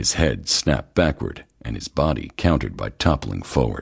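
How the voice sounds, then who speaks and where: A man speaks in a dramatic tone at a moderate pace. His voice carries vocal fry. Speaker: audiobook narrator. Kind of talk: dramatic audiobook narration of a thriller, reading aloud. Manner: dramatic, with voiced dialogue for characters.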